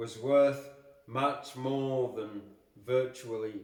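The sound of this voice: Reading in an unforced voice.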